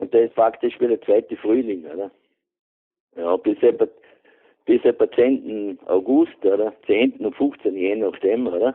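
A man speaks with a Vorarlberg accent at a fairly slow pace. Long, frequent pauses break up his speech. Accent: Vorarlberg Alemannic German. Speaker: retired beekeeper. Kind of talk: casual chat.

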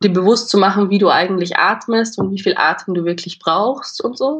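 Her pitch is medium with ordinary variation, and this woman keeps a moderate pace. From Austria, Vienna. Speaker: drama student. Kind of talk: casual interview. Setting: video call.

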